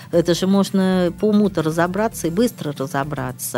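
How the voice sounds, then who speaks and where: Music plays in the background. A woman speaks at a fairly low pitch with lively intonation. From St Petersburg, Russia. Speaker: politician and public figure. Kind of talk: interview. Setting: studio.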